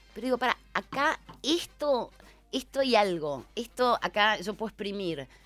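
Against music in the background, a woman with a fairly high pitch speaks with very wide pitch swings. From Buenos Aires, Argentina. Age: 50s. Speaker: novelist and journalist. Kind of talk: casual interview.

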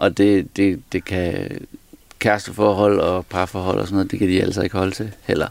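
A man's ordinary speaking voice, fairly low in pitch, fairly slow and fairly even in intonation. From Denmark, Aarhus. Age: 40s. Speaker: entertainer. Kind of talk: casual interview.

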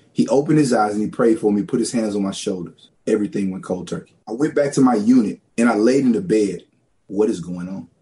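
Here is a man with a Southern US accent. He talks at a fairly quick pace in a dark, mellow tone. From rural Louisiana. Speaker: pastor. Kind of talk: testimony.

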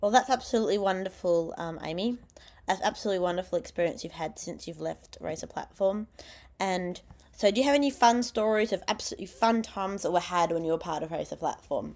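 A woman with an Australian accent talks at a very fast pace in a medium-pitched voice, captured on a very clean recording with a silent background. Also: ordinary pitch variation. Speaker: youth radio host. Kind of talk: radio interview. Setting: radio studio. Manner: animated.

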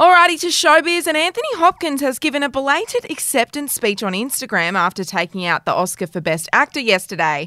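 A woman talks in a raised, projected voice at a high pitch, with very wide pitch swings, at a fairly quick pace and hardly any pauses. The sound is dry and close with no echo, and there is noticeable background noise. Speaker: news podcast host. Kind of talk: news reading.

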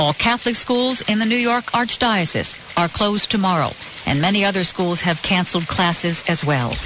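A moderate pace against noticeable background noise. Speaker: radio news anchor. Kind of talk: radio news reading. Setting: studio.

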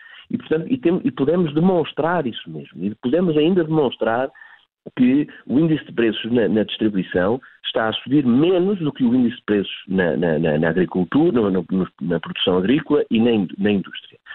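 A man's medium-pitched voice at a moderate pace, with very wide pitch swings. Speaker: retail industry association director. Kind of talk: live news interview. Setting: live broadcast interview. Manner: halting, many repetitions and fillers.

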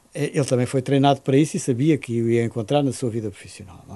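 Pitched fairly high, the man's voice has a dark, mellow tone. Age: 70s. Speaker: public health professor. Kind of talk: interview. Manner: halting.

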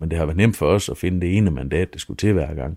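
The voice has a dark, mellow tone and moves at a very fast pace. Its pitch varies in an ordinary way. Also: man, very clean recording, silent background. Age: 30s. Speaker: mayor and local politician. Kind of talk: interview.

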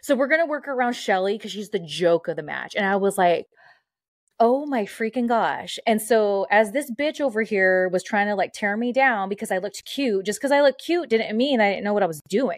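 A woman with a Californian accent, lively intonation and a fairly high pitch. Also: moderate pace. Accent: Californian American. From Southern California, Mexican-American. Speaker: former pro wrestler and radio host. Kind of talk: casual chat. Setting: video call.

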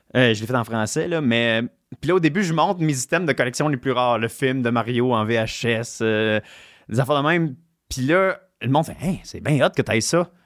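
In a very clean recording with a silent background, a man with a plain, everyday voice speaks at a moderate pace, his medium pitch showing ordinary pitch variation. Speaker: comedian and game collector. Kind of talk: casual chat.

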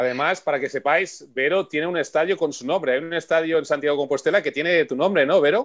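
Talking very fast, a man barely pauses at all. His pitch is fairly high, with ordinary variation. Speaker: radio host and olympic bobsleigh pilot. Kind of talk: radio show hosting. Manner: animated.

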